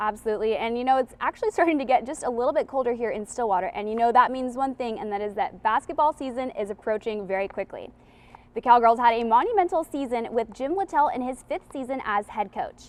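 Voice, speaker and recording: A woman speaks at a very fast pace with lively intonation. Her voice is high. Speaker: sports reporter. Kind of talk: sports news anchor read.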